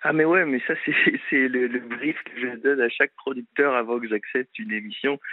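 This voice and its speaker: At a moderate pace with hardly any pauses, a man with an ordinary speaking voice talks at a medium pitch with ordinary pitch variation. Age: 20s. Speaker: TV adventure show presenter. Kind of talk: casual chat.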